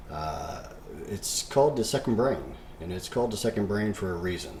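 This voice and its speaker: Music plays underneath the voice. The delivery keeps a moderate pace. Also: man. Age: 60s. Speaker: fitness coach. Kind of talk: tutorial. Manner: casual, frequent fillers.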